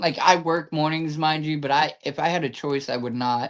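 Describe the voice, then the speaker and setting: A man's plain, everyday voice, fairly high in pitch, with ordinary pitch variation. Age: 30s. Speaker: podcast host. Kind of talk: casual chat.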